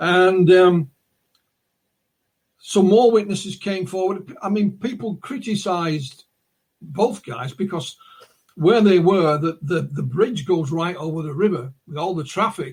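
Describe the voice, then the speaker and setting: The speaker has a Northern English accent and a fairly slow pace. Loudness swings widely, and long pauses come often. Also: man, high pitch for a man, ordinary pitch variation. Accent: North of England. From northern England, West Yorkshire. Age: 60s. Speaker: UFO researcher and author. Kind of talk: interview, storytelling.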